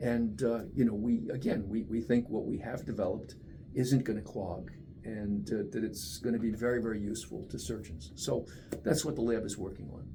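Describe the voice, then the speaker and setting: A man's medium-pitched, dark and mellow voice with vocal fry, at a moderate pace, amid audible room echo. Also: lively intonation. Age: 70s. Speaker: research scientist. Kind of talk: interview. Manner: conversational, with many fillers.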